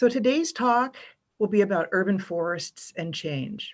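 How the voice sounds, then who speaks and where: A woman with an ordinary speaking voice talks at a moderate pace and medium pitch. Her intonation is lively, and the recording is very clean with a silent background. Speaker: keynote speaker on urban forestry. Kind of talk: keynote presentation.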